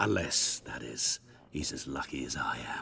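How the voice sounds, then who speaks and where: Using a raspy, put-on character voice, a man delivers his lines at a moderate pace. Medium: video game. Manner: polite, sly, genial.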